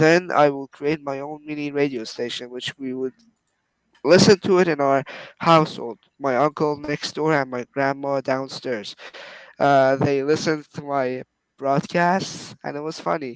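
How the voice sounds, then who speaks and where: A man with a Persian accent, at a fairly slow pace, with fairly even intonation. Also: fairly high pitch for a man, dry, close sound with no echo. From Iran. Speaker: phone collector YouTuber. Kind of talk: casual interview.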